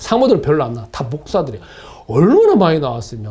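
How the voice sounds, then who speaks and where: Noticeable background noise and audible room echo around a man's fairly high voice. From South Korea, Gunsan (North Jeolla). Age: 60s. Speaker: pastor. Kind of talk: sermon. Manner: conversational, repetitive.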